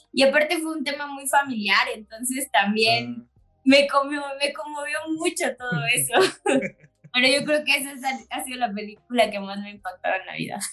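A woman's high, bright, sharp voice, raised and projected, at a moderate pace, with ordinary pitch variation and big swings in loudness. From Chiapas, Mexico. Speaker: specialty coffee business owner. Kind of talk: casual interview.

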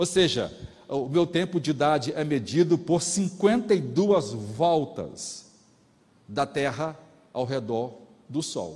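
Somewhat breathy, the voice moves at a very slow pace with lively intonation and long, frequent pauses. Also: man, fairly high pitch for a man. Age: 50s. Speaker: pastor. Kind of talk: sermon.

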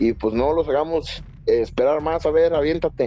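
A man with a fairly high voice talks at a fairly slow pace with lively intonation. Noticeable background noise can be heard. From Mexico. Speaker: podcast co-host. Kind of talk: casual chat.

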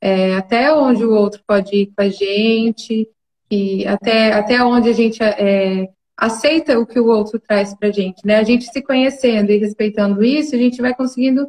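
A woman's plain, everyday voice at a fairly high pitch and moderate pace, with ordinary pitch variation and a dry, close sound with no echo. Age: 20s. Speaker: clinical psychologist. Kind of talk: casual chat.

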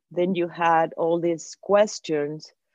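In an American accent, a woman speaks with a dark, mellow tone at a medium pitch and ordinary pitch variation, the sound dry and close with no echo. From outside the US. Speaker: mother of chronically ill podcaster. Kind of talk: casual chat.

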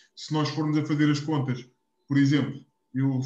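A man's fairly high-pitched voice, a plain, everyday voice. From Portugal, Algarve (Quarteira). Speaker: podcast co-host. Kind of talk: casual chat.

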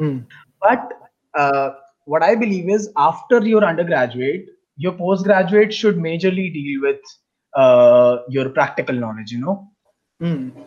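With an Indian accent, a man speaks at a fairly slow pace in a high pitch, using lively intonation and long, frequent pauses. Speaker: international master's student. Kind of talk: casual interview chat.

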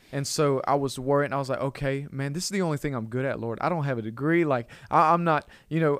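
In a very clean recording with a silent background, a man with an Alabama accent and a fairly high pitch speaks at a fairly quick pace with fairly even intonation. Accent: Southern US (Alabama). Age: 20s. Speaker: church youth pastor. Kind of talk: casual chat. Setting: studio.

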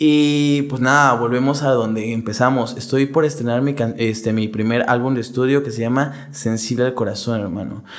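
A man at a moderate pace with hardly any pauses, fairly even intonation and audible room echo. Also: medium pitch for a man. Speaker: rapper and law student. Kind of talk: casual chat.

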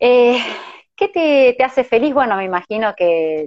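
A woman's fairly slow speech with lively intonation. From Argentina, Córdoba. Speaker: interviewer for a support organization. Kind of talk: casual interview.

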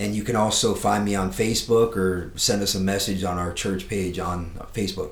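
A man with an American accent speaks at a moderate pace in a fairly low, somewhat breathy voice. His intonation is fairly even, and the room echo is audible. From South Florida. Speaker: pastor. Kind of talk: casual chat. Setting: studio.

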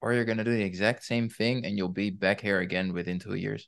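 A fairly low-pitched man with a Dutch accent and fairly even intonation, against a quiet background. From Netherlands. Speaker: weight loss coach. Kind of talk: interview.

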